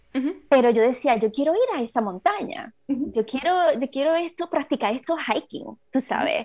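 Her pitch is high and her intonation lively. The woman speaks at a moderate pace. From Puerto Rico. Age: 40s. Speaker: trail runner. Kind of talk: casual interview. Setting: video call.

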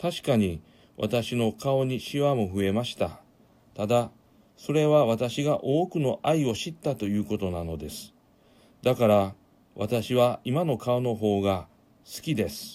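At a fairly slow pace, a man speaks at a medium pitch with lively intonation and a dark, mellow, warm tone. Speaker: pastor and radio host. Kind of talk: radio show with a sermon-style message. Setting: studio. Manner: warm, encouraging, formal.

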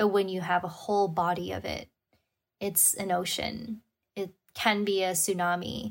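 A woman with a somewhat breathy, medium-pitched voice speaks at a moderate pace in a flat monotone, in a very clean recording with a silent background. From Hong Kong. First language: Cantonese. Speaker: wellness coach and sound healer. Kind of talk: casual interview.

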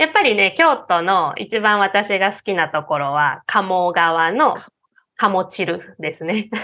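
Her pace is very slow, and her intonation is lively. This woman speaks at a medium pitch. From Osaka, Japan. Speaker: Japanese teacher and local tour guide. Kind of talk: casual interview chat.

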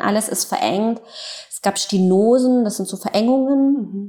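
Her pitch fairly high and its variation ordinary, a woman speaks at a fairly slow pace. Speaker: author and journalist. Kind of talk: interview, personal storytelling. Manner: hesitant, many fillers.

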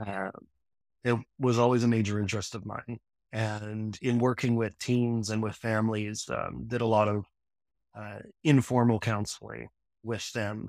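A man with a slight Newfoundland accent, monotone, flat intonation and long, frequent pauses, in a very clean recording with a silent background. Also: medium pitch for a man, moderate pace. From Newfoundland, Canada. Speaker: counseling psychology student, former electrician. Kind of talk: casual interview.

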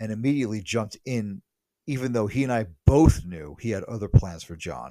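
On a very clean recording with a silent background, a man with a plain, everyday voice and an American accent speaks at a moderate pace with lively intonation. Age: 30s. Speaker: podcaster. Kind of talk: casual monologue.

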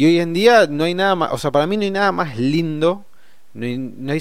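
This man has a plain, everyday voice, with lively intonation and a moderate pace. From Argentina. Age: 30s. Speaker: podcast host, financial educator. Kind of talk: solo podcast monologue. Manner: casual, with fillers.

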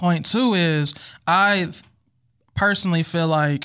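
With an American accent, a man talks at a fairly slow pace in an ordinary speaking voice with fairly even intonation. The recording is very clean, with a silent background. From Milwaukee, Wisconsin. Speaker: podcast guest. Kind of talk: casual chat.

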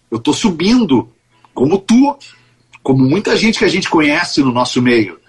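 Music plays behind a man speaking at a moderate pace with a fairly high pitch and very wide pitch swings. Long pauses break up his speech often. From Porto Alegre, southern Brazil. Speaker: radio executive and show leader. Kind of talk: interview.

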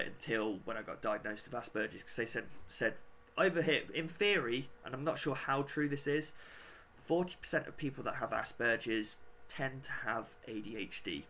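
With a British accent, a man speaks at a medium pitch and moderate pace. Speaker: podcast host. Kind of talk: casual interview chat. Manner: halting, many fillers.

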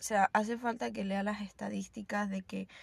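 The somewhat breathy voice speaks at a fairly slow pace. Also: woman. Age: 20s. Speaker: yoga teacher. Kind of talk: casual monologue. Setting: in a car.

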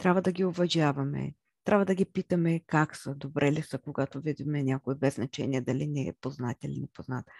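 A woman with a very deep, low voice and ordinary pitch variation speaks at a fairly quick pace, the sound dry and close with no echo over a quiet background. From central Bulgaria (Chirpan). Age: 30s. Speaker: podcast host. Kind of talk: monologue about herself. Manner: halting, with many fillers.

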